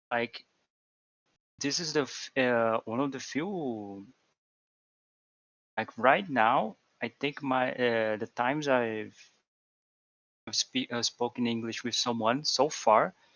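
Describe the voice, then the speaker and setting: A man with a Portuguese accent talks at a very slow pace and medium pitch, with ordinary pitch variation and long, frequent pauses. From Brazil. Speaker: programmer and VTuber. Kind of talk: casual chat. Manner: halting, many repetitions.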